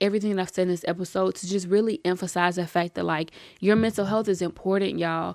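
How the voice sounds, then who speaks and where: The speaker is a woman of medium pitch. Her pitch varies in an ordinary way. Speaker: podcast host. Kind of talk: casual monologue. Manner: animated.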